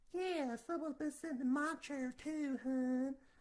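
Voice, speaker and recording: A put-on character voice from a woman, pitched high and moving at a moderate pace. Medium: solo performance.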